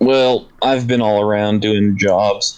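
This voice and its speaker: A man uses a put-on character voice, rumbling at a fairly low pitch. He speaks at a fairly slow pace with monotone, flat intonation. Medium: actual play. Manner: grumbling, curt.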